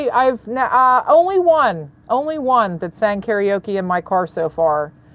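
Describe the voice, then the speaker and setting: A woman is speaking. Her intonation is lively. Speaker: rideshare driver and karaoke video creator. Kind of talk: casual chat. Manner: loud.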